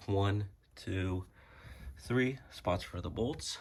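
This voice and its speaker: A man talks in a somewhat breathy voice. The recording is very clean, with a silent background. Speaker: car enthusiast. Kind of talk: casual how-to talk to camera. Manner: casual, hesitant.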